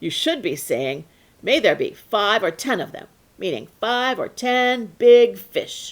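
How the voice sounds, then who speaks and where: In a put-on character voice, the speaker goes at a fairly slow pace on a very clean recording with a silent background. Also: woman, high pitch for a woman. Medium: read story. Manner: irritated.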